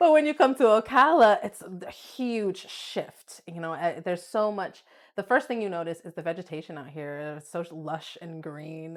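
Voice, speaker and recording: A woman with an American accent and an unremarkable speaking voice talks at a moderate pace, her pitch varying in an ordinary way and her loudness swinging widely. The recording is very clean, with a silent background. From Florida, Volusia County. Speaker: massage therapist. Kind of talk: interview.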